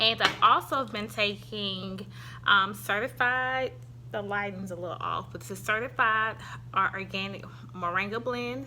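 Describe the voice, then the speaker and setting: Her loudness swinging widely, a woman speaks at a fairly slow pace. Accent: strong Southern US. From US South. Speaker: YouTuber reviewing products. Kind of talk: product review vlog. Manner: casual, hesitant with fillers.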